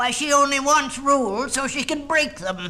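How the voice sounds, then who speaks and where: A put-on character voice, high-pitched, at a moderate pace over light background noise. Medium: read story.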